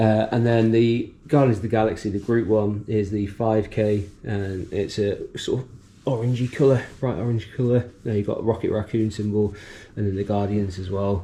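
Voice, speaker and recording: A man's dark, mellow, somewhat breathy voice, fairly low in pitch, with a moderate pace and fairly even intonation. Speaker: running vlogger. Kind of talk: casual vlog narration. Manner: hesitant, many fillers.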